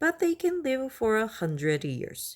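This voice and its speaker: A high-pitched, put-on character voice at a moderate pace, on a very clean recording with a silent background. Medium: read story. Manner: polite, solemn.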